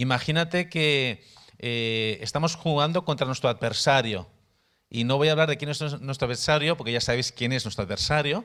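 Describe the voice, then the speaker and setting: A man with a Spanish accent has a bright, sharp tone and a fairly high pitch, heard on a very clean recording with a silent background. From Spain, Barcelona area. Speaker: missionary, workshop teacher. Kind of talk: workshop teaching. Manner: halting, repeats words.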